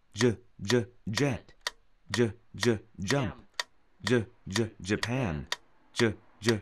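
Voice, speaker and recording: A man's very slow speech with vocal fry, over noticeable background noise. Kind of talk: pronunciation drill. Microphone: earbuds.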